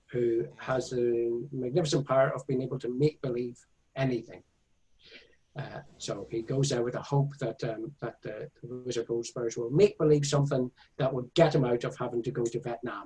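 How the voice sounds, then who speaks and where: A man's voice, medium in pitch and dark, mellow and somewhat breathy, moves at a moderate pace with fairly even intonation. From Northern Ireland (Belfast, County Tyrone/Monaghan). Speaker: author and illustrator. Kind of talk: interview. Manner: halting, many fillers.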